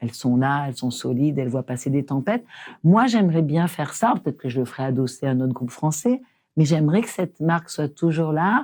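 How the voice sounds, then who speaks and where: In a very clean recording with a silent background, a woman with a very deep, low, dark, mellow voice talks at a fairly quick pace with ordinary pitch variation. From France, rural small town. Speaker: entrepreneur. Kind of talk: interview conversation. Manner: animated, informal.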